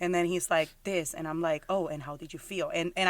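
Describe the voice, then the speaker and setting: A woman with a strong Puerto Rican accent talks very fast at a fairly low pitch, her intonation fairly even. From Puerto Rico. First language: Spanish. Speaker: podcast co-host. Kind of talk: casual chat.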